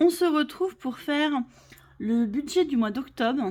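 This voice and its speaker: The voice belongs to a woman. Her pitch moves in a lively way. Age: 40s. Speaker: budget vlogger. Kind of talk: casual vlog talk to camera. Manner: hesitant, many fillers.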